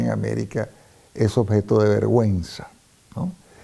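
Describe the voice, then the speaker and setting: A man with a Venezuelan accent speaks at a moderate pace, his fairly low voice showing ordinary pitch variation. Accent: Venezuelan, clearly non-peninsular. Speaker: hispanist, former professor. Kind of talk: interview.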